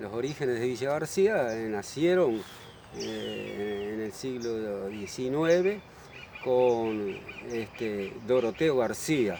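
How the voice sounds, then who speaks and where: A man speaks very slowly with lively intonation at a medium pitch. The recording has audible room echo and noticeable background noise. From Uruguay, Montevideo. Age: 70s. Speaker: local resident. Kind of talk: interview. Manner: halting.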